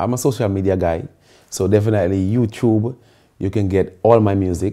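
A man talks at a moderate pace in a dark, mellow tone with ordinary pitch variation against a quiet background. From Carriacou, Grenada; Grenada. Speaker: soca artist; guest. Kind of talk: casual interview. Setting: studio sofa. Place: home room.

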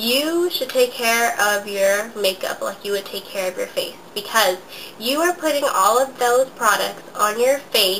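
A woman talks at a fairly slow pace with lively intonation. Faint background noise sits under her voice. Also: fairly high pitch for a woman, fairly bright tone.

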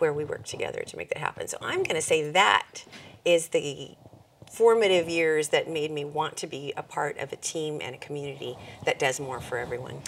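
A woman with a Californian accent at a fairly quick pace, with big swings in loudness and light background noise. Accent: General American (Californian). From California, Monterey County. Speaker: nonprofit executive; interview guest. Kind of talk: interview. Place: studio.

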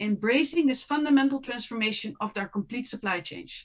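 Against a quiet background, a woman with a Dutch accent speaks at a high pitch with lively intonation. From Netherlands. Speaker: apparel brand and impact consultant. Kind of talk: panel discussion. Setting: online video panel. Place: home room. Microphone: webcam.

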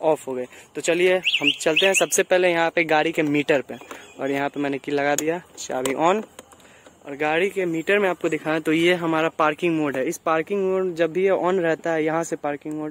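The man speaks at a moderate pace with fairly even intonation. The sound is dry with no echo, over light background noise. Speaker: vehicle reviewer. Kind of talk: product review walkthrough. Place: street.

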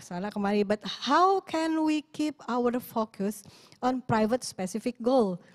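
A woman talks at a fairly high pitch with lively intonation in an Indonesian accent. Her sound is dry and close with no echo. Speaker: event host. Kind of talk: webinar moderation.

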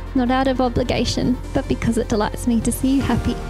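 A woman speaks at a high pitch. Clear music plays in the background. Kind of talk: reading wedding vows. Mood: emotional, tender. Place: garden. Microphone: handheld.

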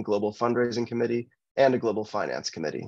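Against a quiet background, a man with an American accent talks at a very fast pace and medium pitch, the sound dry with no echo. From Michigan. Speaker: political candidate, lawyer. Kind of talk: candidate forum speech. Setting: video call. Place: home room. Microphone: video call.

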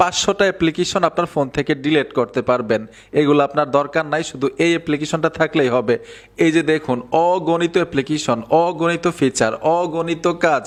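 The background is quiet as a man talks. His voice sits fairly high with ordinary pitch variation. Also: very even loudness. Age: 30s. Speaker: tech YouTuber. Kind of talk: tutorial. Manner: animated.

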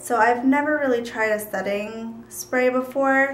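A woman's fairly even intonation amid light background noise and audible room echo. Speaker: beauty vlogger. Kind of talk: casual vlog chat. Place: home room. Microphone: camera far.

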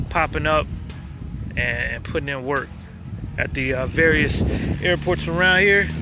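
A man at a fairly slow pace, in a dry sound with no echo and noticeable background noise. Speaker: pilot vlogger. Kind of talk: casual vlog chat. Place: open country. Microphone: phone near.

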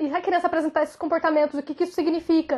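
Against a quiet background, a woman speaks with a dark, mellow tone. Her pitch is extremely high. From Brazil. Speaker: YouTuber; vlogger. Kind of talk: vlog monologue. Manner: animated. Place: home room. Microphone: phone near.

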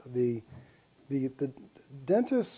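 A man speaks with a dark, mellow tone. His pace is moderate. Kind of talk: interview answer. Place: home room. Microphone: lapel.

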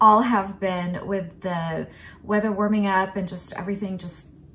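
A woman speaks at a moderate pace in a somewhat breathy voice with monotone, flat intonation over light background noise. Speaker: home vlogger. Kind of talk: casual vlog chat. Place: kitchen. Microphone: phone near.

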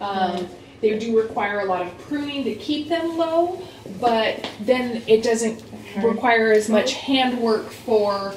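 A woman talks at a fairly slow pace, with light background noise and audible room echo. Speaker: farm tour guide. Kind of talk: tour guide explanation. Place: home room. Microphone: camera far.

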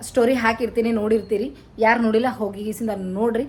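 A woman speaks with a fairly high pitch. Her voice is somewhat breathy. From North Karnataka, Kalaburagi. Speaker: vlogger. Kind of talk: casual vlog talk to camera.

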